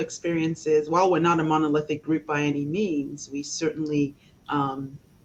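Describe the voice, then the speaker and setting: Amid noticeable background noise, a woman with a very deep, low pitch speaks at a fairly quick pace. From Nigeria, Port Harcourt. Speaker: lawyer and local elected official. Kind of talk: interview. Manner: frequent fillers (um, uh).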